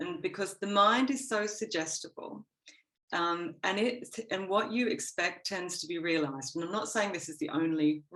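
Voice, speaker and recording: With an Australian accent, a woman talks at a moderate pace with lively intonation. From Australia, Gold Coast. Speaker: interview guest. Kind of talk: podcast interview.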